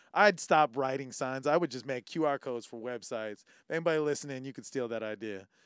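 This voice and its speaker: With an American accent, a man speaks at a very fast pace and medium pitch, with ordinary pitch variation and big swings in loudness, in a very clean recording with a silent background and a dry, close sound with no echo. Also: hardly any pauses. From California. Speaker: podcast co-host. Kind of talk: casual chat.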